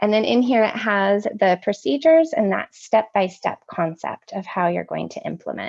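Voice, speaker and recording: The sound is dry and close, with no echo. A woman speaks at a medium pitch with lively intonation. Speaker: workshop presenter on social-emotional learning. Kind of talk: online training presentation. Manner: fast.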